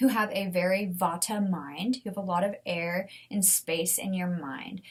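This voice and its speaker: A woman speaks at a medium pitch. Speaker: podcast host. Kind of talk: solo podcast talk. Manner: animated.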